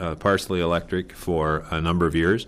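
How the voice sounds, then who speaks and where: Speaking with an Upper Midwest accent, a man keeps a moderate pace. The recording is very clean, with a silent background. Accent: Upper Midwest American. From South Dakota, Brookings County. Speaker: electric cooperative manager. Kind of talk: oral history interview. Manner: halting, many filler words.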